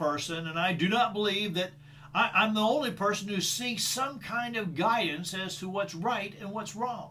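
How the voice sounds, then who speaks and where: Amid noticeable background noise and audible room echo, a man with a high pitch uses a raised, projected voice at a moderate pace with ordinary pitch variation. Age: 60s. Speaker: leadership trainer. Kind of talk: solo talk on personal values. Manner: halting, repeats words.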